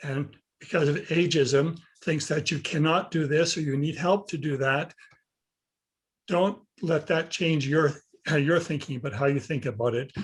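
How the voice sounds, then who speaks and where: With a Canadian accent, a man speaks at a moderate pace in a somewhat breathy, fairly high voice with fairly even intonation. He takes long, frequent pauses against a quiet background. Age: 70s. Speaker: senior health coach. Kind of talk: panel discussion. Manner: halting.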